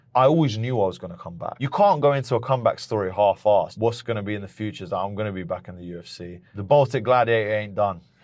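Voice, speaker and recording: Speaking very fast with hardly any pauses, a man with a British accent uses a fairly low pitch, ordinary pitch variation, and big swings in loudness against a quiet background. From England (moved from Lithuania at age three). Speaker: MMA fighter. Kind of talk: podcast interview.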